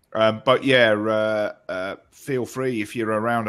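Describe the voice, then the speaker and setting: With a British accent, a man talks in a fairly low, monotone voice with flat intonation. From UK. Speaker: online show co-host. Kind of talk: casual chat.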